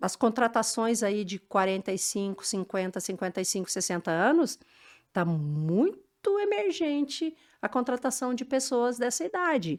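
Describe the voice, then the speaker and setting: A woman's high voice at a fairly slow pace, swinging very widely in pitch, in a very clean recording with a silent background. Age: 60s. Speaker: business executive. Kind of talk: podcast interview.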